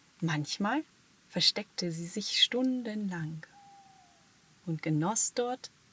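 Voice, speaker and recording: Her voice is fairly low with lively intonation and a calm tone at a very slow pace. The recording of this woman sounds dry and close with no echo. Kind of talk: sleep story. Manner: calm, soft-spoken.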